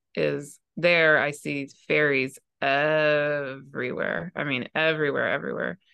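A woman speaks with a very deep, low pitch and a fairly even intonation. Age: 40s. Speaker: astrologer. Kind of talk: casual chat.

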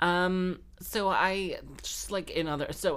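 A woman's voice with vocal fry and an American accent. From grew up in London and Texas, now Wales. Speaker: podcast host and harpist/busker. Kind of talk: casual monologue. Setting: home recording. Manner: animated.

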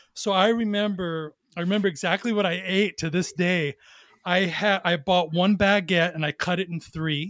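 With a Californian accent, the speaker keeps a moderate pace and fairly even intonation in a dry, close recording with no echo. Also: man, high pitch for a man. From Southern California, Long Beach. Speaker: entrepreneur, former federal agent. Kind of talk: casual interview.

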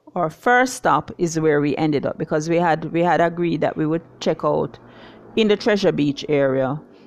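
At a fairly slow pace, a woman speaks in a very deep, low voice with ordinary pitch variation. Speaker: podcast host and lifestyle blogger. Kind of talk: solo podcast monologue.

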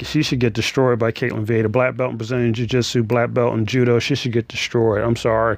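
A man's medium-pitched voice in an animated tone. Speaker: MMA podcast host. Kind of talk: casual solo podcast monologue. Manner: loud, as if yelling.

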